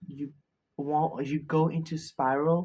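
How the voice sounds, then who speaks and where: A soft-spoken man's very slow, dark, mellow voice, fairly high in pitch. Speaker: self-help video creator. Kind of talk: motivational talk. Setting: filming at night, self-recorded. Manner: halting.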